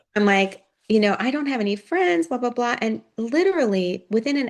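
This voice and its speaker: A woman with an American accent uses a plain, everyday voice, talking at a moderate pace with lively intonation. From US, Pittsburgh. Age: 60s. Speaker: retired nonprofit leader. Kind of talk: casual interview chat.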